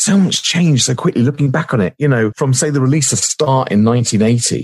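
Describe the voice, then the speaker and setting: This man speaks in a southern English accent at a fairly quick pace. His pitch varies in an ordinary way. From southern England, Surrey. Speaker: radio presenter. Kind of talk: casual interview chat.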